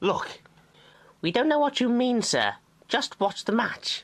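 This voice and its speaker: In a put-on character voice, a female-sounding speaker talks at a fairly slow pace and a high pitch. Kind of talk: audio drama comic reading. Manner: nervous, evasive.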